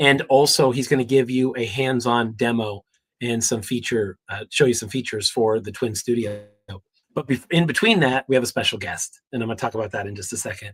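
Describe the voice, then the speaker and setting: A man's somewhat breathy, medium-pitched voice moves with ordinary pitch variation. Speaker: tech company executive hosting livestream. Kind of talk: livestream update. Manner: halting.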